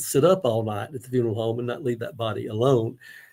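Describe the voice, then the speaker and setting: The speaker has a Mississippi accent. The recording is very clean, with a silent background. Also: man. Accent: Southern US (Mississippi). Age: 70s. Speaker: Elvis researcher and local historian. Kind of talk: book club discussion. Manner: conversational with hesitations.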